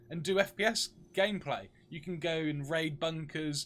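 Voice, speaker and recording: A man with a British accent and a high pitch speaks with ordinary pitch variation on a very clean recording with a silent background. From UK. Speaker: game streamer. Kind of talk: live gameplay stream chat.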